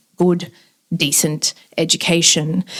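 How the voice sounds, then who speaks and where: With an Australian accent, a woman speaks at a fairly slow pace in a fairly low pitch, keeping her intonation fairly even. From Western Sydney, Australia (Lebanese migrant family). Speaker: event host. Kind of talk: public speech. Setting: event with live audience. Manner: casual, with many fillers.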